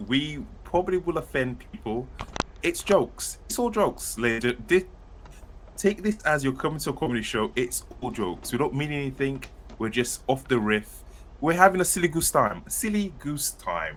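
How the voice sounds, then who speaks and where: With a British accent, a man speaks at a moderate pace in a fairly high pitch that swings very widely. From United Kingdom. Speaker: author and podcast co-host. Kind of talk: casual chat. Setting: live stream.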